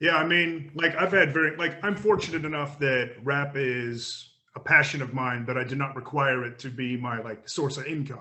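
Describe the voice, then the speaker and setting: Speaking with an American accent at a moderate pace, a man with a fairly high pitch shows ordinary pitch variation and hardly any pauses. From Australia. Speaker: rapper. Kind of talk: interview. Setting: remote call.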